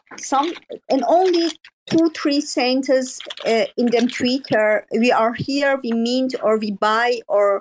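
Lively intonation marks this fairly slow-paced speech. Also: woman. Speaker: NFT artist. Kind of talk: casual chat. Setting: Twitter Spaces audio room. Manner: halting.

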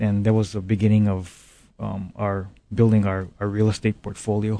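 Against a quiet background, a man with a Hawaiian accent speaks at a moderate pace in a fairly low, dark, mellow tone with monotone, flat intonation. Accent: Hawaii local English. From Hawaii, Big Island plantation community. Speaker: business owner. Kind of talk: interview. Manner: halting.

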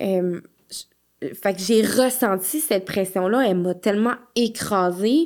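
Speaking with a Quebec accent at a very slow pace, this voice has ordinary pitch variation and long, frequent pauses. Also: woman, medium pitch for a woman. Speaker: licensed practical nurse and home postpartum care entrepreneur. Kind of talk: casual interview.

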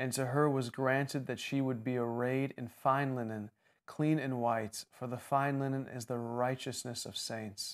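A man speaks at a medium pitch in a monotone, flat intonation. The recording is very clean, with a silent background. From Jordan. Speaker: minister. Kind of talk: Bible teaching discussion.

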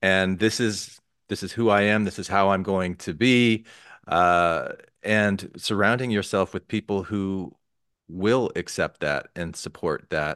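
In a normal speaking voice, a man with fairly low pitch talks at a fairly slow pace with ordinary pitch variation, the sound dry and close with no echo against a quiet background. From Arizona. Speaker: podcast host. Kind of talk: interview.

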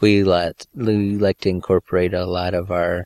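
A man's very deep, low voice in a flat monotone, on a very clean recording with a silent background. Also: dry, close sound with no echo. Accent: Upper Midwest. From Michigan, US. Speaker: missionary. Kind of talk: interview.

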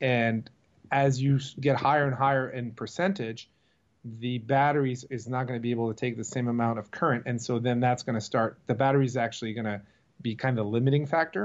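At a fairly quick pace, a man talks in a plain, everyday voice of medium pitch with fairly even intonation. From US/Canada Eastern Seaboard. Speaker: marine electrical business owner. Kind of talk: interview.

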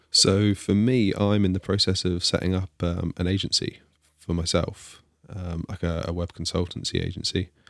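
This man has a very deep, low pitch and an English accent, speaking at a moderate pace with monotone, flat intonation. The recording is very clean, with a silent background. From England. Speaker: iOS developer, podcaster. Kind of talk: casual interview chat.

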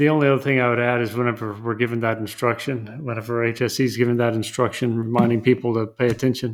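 In a very clean recording with a silent background, a man speaks very fast at a medium pitch with fairly even intonation. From West Texas. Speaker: lawyer. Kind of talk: casual chat.

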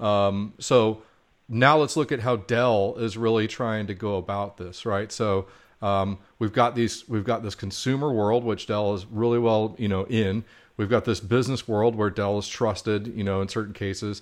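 This man has a plain, everyday voice, fairly low in pitch, with fairly even intonation, a moderate pace and a quiet background. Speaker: podcast co-host. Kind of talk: casual interview chat. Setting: remote call. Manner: jokey.

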